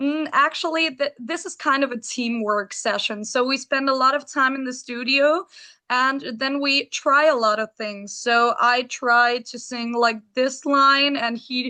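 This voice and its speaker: A high-pitched woman with a bright, sharp tone and raised, projected voice, at a fairly slow pace with hardly any pauses, ordinary pitch variation and a quiet background. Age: 20s. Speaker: rock band singer. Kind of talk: interview.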